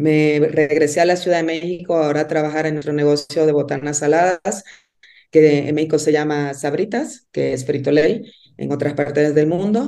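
Her pitch very deep and low, a woman speaks in a dark, mellow tone at a moderate pace, with ordinary pitch variation. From Dominican Republic. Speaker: business executive. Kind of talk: interview. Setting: remote call. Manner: halting, with fillers.

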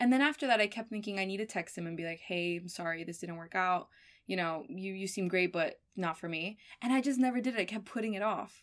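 In a Miami accent, a woman speaks at a very fast pace with medium pitch. Her pitch varies in an ordinary way, and the recording is very clean over a silent background. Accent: American (Miami). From Miami, US. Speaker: graduate student. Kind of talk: casual chat.

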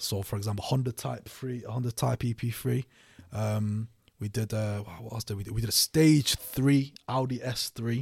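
Somewhat breathy, a man speaks at a moderate pace with fairly even intonation in a dry, close sound with no echo. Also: medium pitch for a man, very clean recording, silent background. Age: 20s. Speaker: e-commerce entrepreneur. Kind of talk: casual interview. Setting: studio. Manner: halting.

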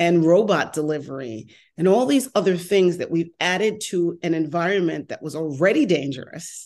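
Against a quiet background, a woman talks at a moderate pace in a fairly low pitch. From New York. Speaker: mobility industry consultant and former transportation official. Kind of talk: casual interview conversation. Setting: video call, remote, based in Los Angeles.

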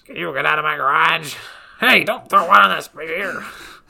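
Shouting at a very fast pace, a man performs in a put-on character voice. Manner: yelling.

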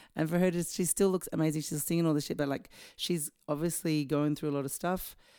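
A woman speaks at a fairly quick pace with a very deep, low pitch and a dark, mellow tone. The recording is very clean, with a silent background. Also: fairly even intonation. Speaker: singer and guest co-host. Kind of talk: casual chat. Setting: at her home.

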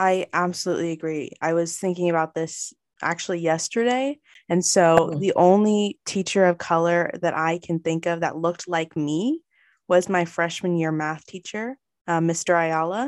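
A woman's normal speaking voice in an American accent, fairly low in pitch with ordinary pitch variation, at a moderate pace, dry and close with no echo, on a very clean recording over a silent background. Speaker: student podcast interviewer. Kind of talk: interview.

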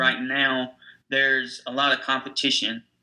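With a Tennessee accent, a man talks at medium pitch in a bright, sharp tone. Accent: Southern US (Tennessee). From US South, Nashville, Tennessee. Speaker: digital marketing agency owner. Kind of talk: interview.

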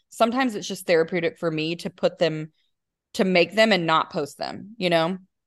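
With an ordinary speaking voice, a woman talks at a fairly quick pace in a fairly low pitch, showing ordinary pitch variation against a quiet background. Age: 30s. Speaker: hairstylist. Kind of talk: casual chat.

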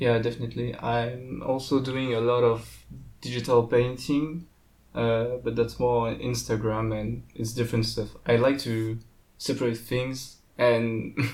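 The speaker has a French accent and a fairly slow pace. Intonation is monotone and flat. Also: man, medium pitch for a man. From France. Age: young. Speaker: pixel art student. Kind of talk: casual interview. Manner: halting.

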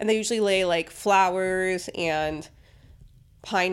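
In a very clean recording with a silent background, a woman uses a normal speaking voice with ordinary pitch variation. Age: 30s. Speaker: podcast co-host. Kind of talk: casual chat.

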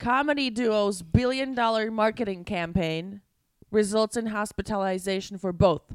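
A woman's fairly high voice at a moderate pace, with ordinary pitch variation, on a very clean recording with a silent background. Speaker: stand-up comedian and podcast co-host. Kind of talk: casual comedic chat. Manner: loud; animated.

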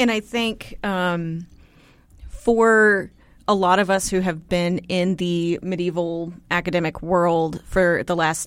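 A woman with an American accent and an unremarkable speaking voice talks at a fairly low pitch with fairly even intonation, on a very clean recording against a silent background. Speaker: co-host and PhD student. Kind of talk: casual chat.

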